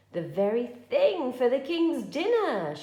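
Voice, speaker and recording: This female-sounding, put-on character voice sits at a high pitch and moves through very wide pitch swings. It goes at a fairly slow pace. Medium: read story.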